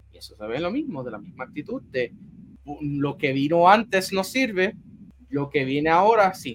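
Speaking at a moderate pace, a man with a high voice makes very wide pitch swings and big jumps in loudness. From Puerto Rico, San Juan area. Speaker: sports journalist. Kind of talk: interview. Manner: halting, frequent repetitions.

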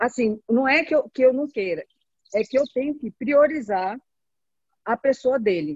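With long, frequent pauses, a woman talks in a high pitch with lively intonation, in a dry, close sound with no echo. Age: 50s. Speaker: caregiver and network marketing distributor. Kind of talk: group video call testimony.

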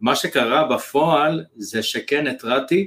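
This man's voice carries ordinary pitch variation. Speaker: copywriter and business mentor. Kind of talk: interview conversation.

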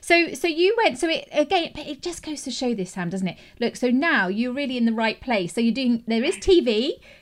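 A woman speaks in a high pitch with an English accent. Her pace is fairly quick, and her pitch swings very widely. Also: hardly any pauses. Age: 40s. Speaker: podcast host, journalist. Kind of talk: interview; scripted introduction. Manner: animated.

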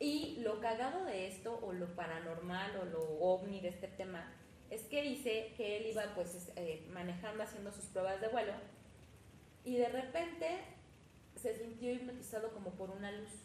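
Against noticeable background noise and audible room echo, a woman with a Mexican accent speaks at medium pitch and a moderate pace with lively intonation. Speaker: podcast host. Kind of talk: casual chat.

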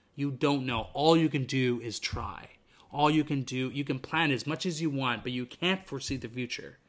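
Here a man speaks at a moderate pace. His pitch is fairly high, with fairly even intonation. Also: very clean recording, silent background. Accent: Western Canadian. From Vancouver, British Columbia, Canada. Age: 20s. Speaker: podcast host. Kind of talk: solo podcast monologue. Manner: casual, with frequent fillers and restarts.

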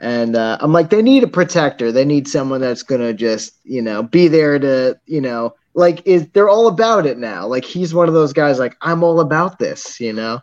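Lively intonation marks a man's plain, everyday voice. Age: 30s. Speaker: film director. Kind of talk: casual chat.

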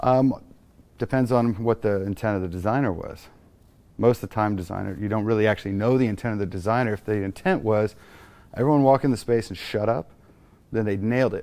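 A man with a fairly low pitch, a dark, mellow tone and an American accent, at a very fast pace. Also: ordinary pitch variation. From Texas. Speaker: architect. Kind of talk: interview. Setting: showroom studio.

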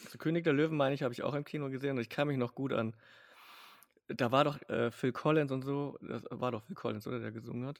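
Here a man talks at a very fast pace with medium pitch. His intonation is fairly even, while his loudness swings widely. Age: middle-aged. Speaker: podcast co-host. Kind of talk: casual chat.

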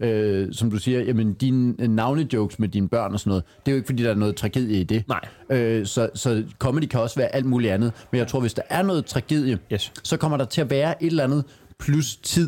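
A dark, mellow voice at a fairly quick pace, with ordinary pitch variation and very even loudness. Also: man, medium pitch for a man. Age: 40s. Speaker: stand-up comedian. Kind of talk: casual chat.

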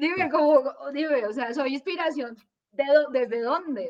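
A woman talks at a fairly slow pace. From Colombia. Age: 40s. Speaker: lawyer and life coach. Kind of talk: casual interview chat.

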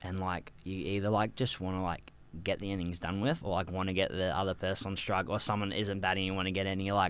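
Speaking very fast in an Australian accent, a man with a very deep, low voice keeps his intonation fairly even. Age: 20s. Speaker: cricket club podcast co-host. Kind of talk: casual chat.

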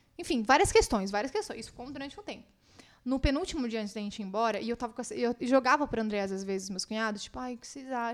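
Speaking very fast, a woman with a high pitch uses ordinary pitch variation while her loudness swings widely. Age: 20s. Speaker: muralist and content creator. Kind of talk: casual chat. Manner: talkative.

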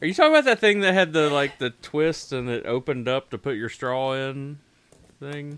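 Using an unremarkable speaking voice, a man talks at a moderate pace, his fairly high pitch showing ordinary variation. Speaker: podcast co-host. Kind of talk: casual chat. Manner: joking, bawdy.

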